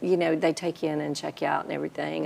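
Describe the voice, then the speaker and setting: The speaker is a woman. She has a Southern accent. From US South, South Carolina. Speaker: guest sharing testimony; guest. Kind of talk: testimony. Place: studio. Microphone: lapel.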